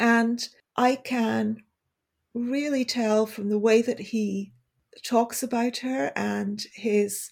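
A woman's fairly high, somewhat breathy voice with ordinary pitch variation, on a very clean recording with a silent background. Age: 50s. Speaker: magazine editor and writer. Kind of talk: casual interview chat.

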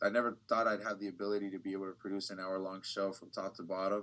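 Talking at a fairly quick pace, a man with an American accent speaks at a fairly low pitch. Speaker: TV news reporter. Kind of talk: casual interview.

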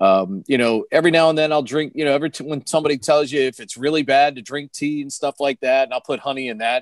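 Over a quiet background in a dry, close sound with no echo, a man with an American accent talks at a very fast pace, his pitch fairly high with ordinary variation. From Washington DC area, Maryland. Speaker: sports radio broadcaster. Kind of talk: casual interview. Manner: fluent, with frequent filler words.

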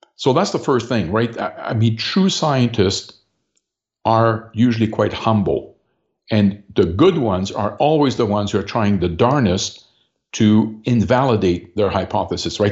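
At a moderate pace, a man speaks in a plain, everyday voice with a medium pitch and ordinary pitch variation. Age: 60s. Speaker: political party leader. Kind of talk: interview.

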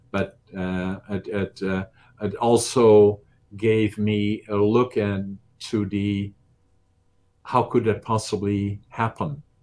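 Over a silent background on a very clean recording, a man with a Dutch accent speaks very slowly in a monotone, flat intonation. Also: fairly low pitch for a man. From Netherlands. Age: 70s. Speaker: business owner and bodybuilder. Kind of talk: interview. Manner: halting.

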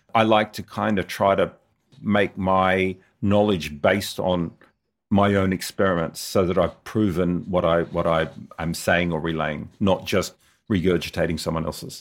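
An Australian-accented man's very deep, low voice, moderately paced with fairly even intonation, on a very clean recording with a silent background. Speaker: motorcycle videographer. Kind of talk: interview. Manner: hesitant, many fillers.

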